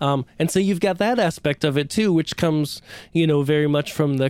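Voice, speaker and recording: A man with a normal speaking voice and an American accent, fairly high in pitch, with ordinary pitch variation at a moderate pace. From central Pennsylvania. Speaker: lighting designer and trainer. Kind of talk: casual interview.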